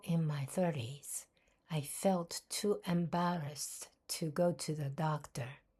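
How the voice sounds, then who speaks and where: A woman with a Japanese accent, fairly low in pitch, somewhat breathy and dark and mellow in tone, speaking at a very slow pace on a very clean recording with a silent background. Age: old. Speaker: podcaster. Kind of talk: personal podcast monologue.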